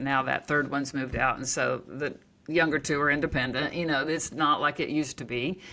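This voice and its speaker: A woman talks with an American accent in a very deep, low pitch. Her tone is bright and sharp, and her intonation stays monotone and flat. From Oklahoma. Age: 60s. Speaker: author and naturopath. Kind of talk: interview conversation. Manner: casual, conversational with many fillers.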